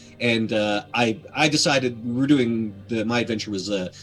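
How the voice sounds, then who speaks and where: A man is speaking. Music plays in the background. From Canada. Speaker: voice actor and game master. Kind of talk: interview answer.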